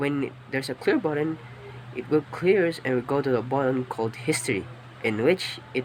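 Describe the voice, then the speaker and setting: A man talks at a moderate pace with medium pitch and ordinary pitch variation. Noticeable background noise sits under his voice. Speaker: student. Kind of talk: class presentation. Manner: halting.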